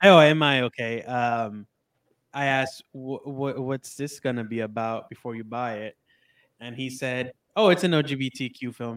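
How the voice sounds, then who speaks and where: Here is a man with an unremarkable speaking voice at a medium pitch. He keeps a moderate pace, with ordinary pitch variation and big swings in loudness. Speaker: guest, film fan. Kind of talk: casual chat, movie review.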